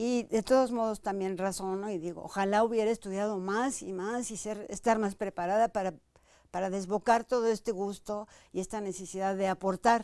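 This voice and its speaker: A woman speaks with a dark, mellow tone and fairly even intonation. The sound is dry, with no echo. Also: moderate pace, quiet background. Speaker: dancer and choreographer, dance company director; guest. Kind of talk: interview conversation. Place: studio. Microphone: lapel.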